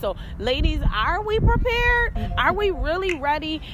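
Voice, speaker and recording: A woman with a high pitch, audible room echo and music in the background. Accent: American. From Rochester, New York. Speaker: podcast host, hair stylist and motivator. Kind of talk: casual chat.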